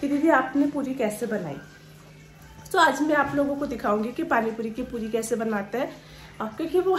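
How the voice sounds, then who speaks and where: A woman speaks in a high voice with ordinary pitch variation. Noticeable background noise and audible room echo fill the recording. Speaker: vlogger. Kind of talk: cooking vlog. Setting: at home. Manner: casual chatty.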